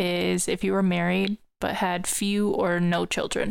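A woman's voice in a very clean recording, silent background. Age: 20s. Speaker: podcast host, storyteller. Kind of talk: storytelling podcast monologue.

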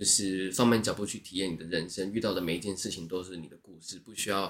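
Fairly even intonation marks this bright, sharp-toned voice. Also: man. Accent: slight Japanese. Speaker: former service worker, Japanese speaker. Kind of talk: casual interview chat. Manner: polite, deferential-sounding tone.

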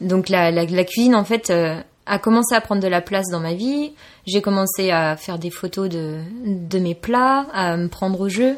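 In a very clean recording with a silent background, a woman has an ordinary speaking voice. She talks at a fairly slow pace and medium pitch, with ordinary pitch variation. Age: 20s. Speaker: photographer and cook, communications graduate. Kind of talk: interview.

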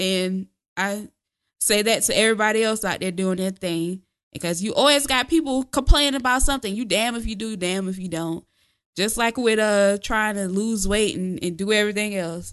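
Over a quiet background, a woman speaks at a moderate pace in a medium pitch. Her tone is animated, with ordinary pitch variation. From Houston, Texas. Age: 20s. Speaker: podcast co-host. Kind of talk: casual chat.

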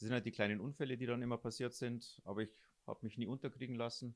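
On a very clean recording with a silent background, a man talks at medium pitch with fairly even intonation. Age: 50s. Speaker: blind runner. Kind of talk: interview. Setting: three people sharing one handheld mic.

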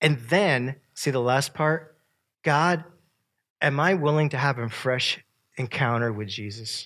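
A man with an American accent speaks in an animated tone at a fairly high pitch and a fairly slow pace, with ordinary pitch variation and long, frequent pauses, on a very clean recording with a silent background. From upstate New York. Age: 50s. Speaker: camp speaker and professor. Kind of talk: sermon to camp audience.

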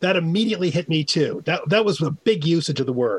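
This man has an American accent and a high pitch. He talks at a fairly quick pace with lively intonation. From New York. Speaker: language author. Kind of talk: call-in radio show. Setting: remote call-in.

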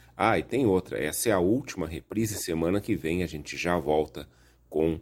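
Speaking at a moderate pace, a man with a very deep, low pitch and vocal fry is heard on a very clean recording with a silent background. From Rio Grande do Sul, Brazil (Viamão). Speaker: radio host. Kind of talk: radio show presenting. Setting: studio.

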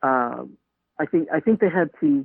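Keeping a moderate pace, a woman speaks with ordinary pitch variation. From Staten Island, New York. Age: 50s. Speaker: podcaster. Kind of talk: interview.

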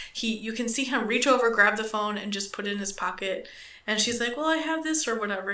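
A woman's fairly high-pitched normal speaking voice, fairly quick in pace with ordinary pitch variation. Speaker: podcast co-host. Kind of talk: casual chat, crude humor. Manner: joking, profane.

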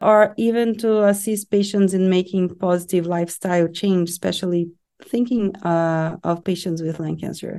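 Set against a quiet background, a woman's medium-pitched voice with a dark, mellow tone moves at a moderate pace with fairly even intonation. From Brazil. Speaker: psycho-oncologist. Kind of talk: professional interview. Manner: some hesitations and restarts.

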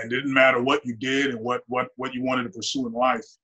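With an American accent, a man at medium pitch talks at a fairly quick pace with ordinary pitch variation in an ordinary speaking voice. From US, Nigerian household. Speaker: optometrist. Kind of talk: casual chat.

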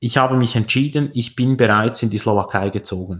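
This man has an unremarkable speaking voice, pitched in the medium range, with ordinary pitch variation and a moderate pace. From Switzerland. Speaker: entrepreneur and investor. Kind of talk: interview.

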